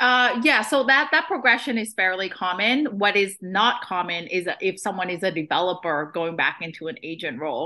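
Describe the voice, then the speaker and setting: Against a quiet background, a woman with a Boston accent speaks at a medium pitch and moderate pace, bright and sharp in tone, with lively intonation and hardly any pauses. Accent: American English, Boston area. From Vietnam, moved to Boston area at nine. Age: 30s. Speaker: real estate investor and agent. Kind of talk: podcast interview.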